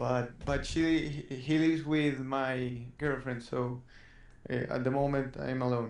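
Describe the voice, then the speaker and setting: A man's flat, monotone voice at a fairly slow pace, with a slight Spanish accent and audible room echo. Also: medium pitch for a man. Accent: Spanish-accented English, mild. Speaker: student gamer being coached. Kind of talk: coaching session, casual chat. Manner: halting.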